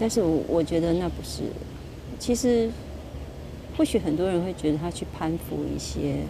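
A woman at a moderate pace with long, frequent pauses, audible room echo and noticeable background noise. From Taiwan, Kaohsiung. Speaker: podcaster, former teacher. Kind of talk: casual monologue. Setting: outdoors at a harbor. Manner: halting, frequent repetitions.

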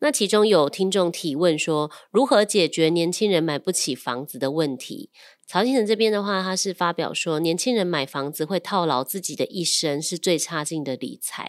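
A woman speaks in a plain, everyday voice at a moderate pace, her fairly low pitch carried by lively intonation. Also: very clean recording, silent background. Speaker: loan manager and podcast co-host. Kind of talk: casual chat.

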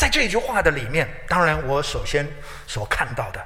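Ordinary pitch variation comes through amid noticeable background noise and audible room echo. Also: man. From Taiwan (Taichung). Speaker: pastor. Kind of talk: sermon. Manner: frequent hesitation fillers.

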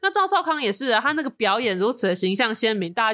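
A woman speaking very fast with lively intonation. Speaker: podcast co-host. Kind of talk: casual chat.

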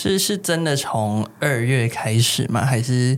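A man of medium pitch speaks at a fairly slow pace over noticeable background noise. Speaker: podcast co-host. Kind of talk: casual chat.

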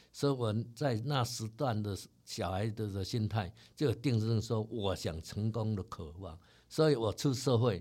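A somewhat breathy man with a dark, mellow tone speaks at a fairly slow pace. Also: medium pitch for a man, ordinary pitch variation, very clean recording, silent background. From Taiwan. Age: 60s. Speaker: company chairman. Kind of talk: interview.

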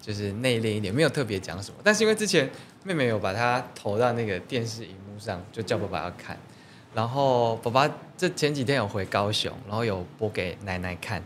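A man speaks at a fairly quick pace with ordinary pitch variation and big swings in loudness. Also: medium pitch for a man. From Taiwan, Taichung coastal area. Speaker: singer-songwriter. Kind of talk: interview. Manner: halting.

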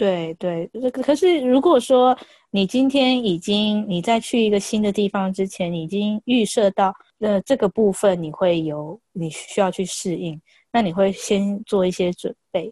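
A woman speaks at a medium pitch in a dark, mellow tone, with ordinary pitch variation. Her fairly slow delivery has a dry, close sound with no echo. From Taiwan. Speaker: Chinese language teacher. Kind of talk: casual chat. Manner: halting.

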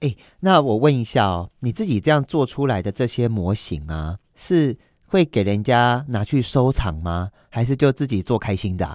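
Recorded very cleanly against a silent background, with a dry, close sound and no echo, a man talks at a moderate pace with very wide pitch swings. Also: medium pitch for a man. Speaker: podcast host. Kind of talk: casual interview. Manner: animated.

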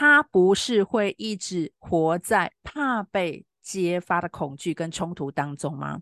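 A woman with a fairly low pitch talks at a very slow pace with hardly any pauses and very wide pitch swings, her voice dry and close with no echo over a quiet background. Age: 50s. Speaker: spiritual counselor podcaster. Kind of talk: reflective monologue. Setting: live online stream.

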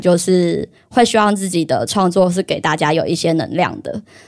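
A woman's plain, everyday voice at a medium pitch, with ordinary pitch variation. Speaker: illustrator and market-stall creator. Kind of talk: casual chat.

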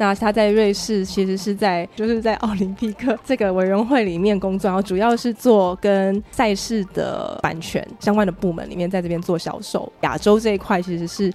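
With hardly any pauses, a woman speaks at a medium pitch and a moderate pace, using fairly even intonation over noticeable background noise. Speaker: podcast host. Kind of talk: casual interview chat.

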